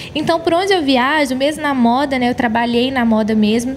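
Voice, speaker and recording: Over noticeable background noise, a woman speaks at a fairly quick pace in a high voice with ordinary pitch variation. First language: English (speaking Portuguese). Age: 20s. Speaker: gospel singer. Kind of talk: interview. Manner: animated.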